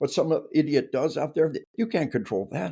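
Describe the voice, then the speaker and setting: A man speaks with an American accent in a dark, mellow tone. Vocal fry runs through his voice. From US South. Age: 60s. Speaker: retired army officer and author. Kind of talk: interview. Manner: animated.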